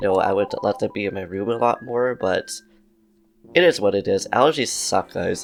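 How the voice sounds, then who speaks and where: At a moderate pace, a man talks while music plays in the background. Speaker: video game commentator. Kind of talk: gameplay commentary. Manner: casual, chatty.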